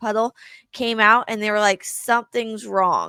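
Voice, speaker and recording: This woman's fairly high, bright and sharp voice stays monotone and flat at a moderate pace, captured in a very clean recording with a silent background and a dry, close sound with no echo. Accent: American. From Kansas. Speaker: podcast host. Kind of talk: podcast interview.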